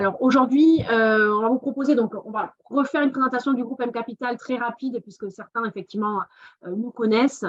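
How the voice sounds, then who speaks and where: A woman speaks in a southern French accent at a fairly quick pace. Her fairly high voice shows ordinary pitch variation. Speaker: investment fund business developer. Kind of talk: webinar presentation.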